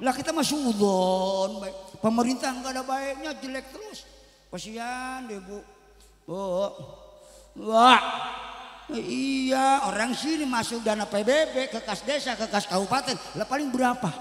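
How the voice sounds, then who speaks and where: A man's animated voice at an extremely high pitch, fairly slow in pace, with ordinary pitch variation, big swings in loudness and audible room echo. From West Java, Karawang. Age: 60s. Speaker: preacher. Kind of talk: religious sermon.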